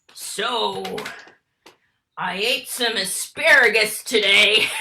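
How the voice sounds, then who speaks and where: A female-sounding voice uses a playful, put-on character voice at a fairly high pitch. The pace is very slow. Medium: stage play. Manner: gossipy, playful.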